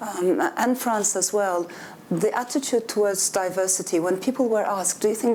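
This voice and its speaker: Noticeable background noise behind a woman at a moderate pace, medium in pitch and with ordinary pitch variation. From Turkey. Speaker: author. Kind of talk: panel discussion.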